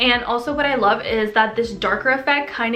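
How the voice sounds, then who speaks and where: A woman speaks at a moderate pace in a fairly high voice, with noticeable background noise and audible room echo. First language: French. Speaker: lifestyle vlogger. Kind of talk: tutorial. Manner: casual, chatty.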